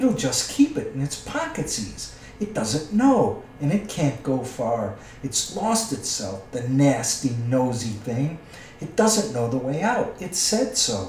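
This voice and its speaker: Using a put-on character voice, a man hisses and swings his pitch very widely at a fairly slow pace, with a slight echo around him. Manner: wheedling, muttering to himself, twisted grammar, "precious".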